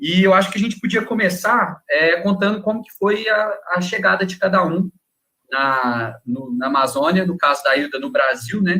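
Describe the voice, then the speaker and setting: This raised, projected voice has a bright, sharp tone, very wide pitch swings and big swings in loudness, moving at a moderate pace. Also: man, high pitch for a man. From Minas Gerais, Brazil. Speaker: wildlife researcher. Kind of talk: casual chat.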